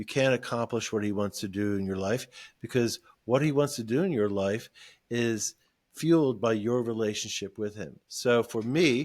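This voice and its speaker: In a very clean recording with a silent background, a man with a normal speaking voice talks at a moderate pace, his medium pitch showing ordinary variation. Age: 60s. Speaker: ministry founder. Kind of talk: podcast interview testimony.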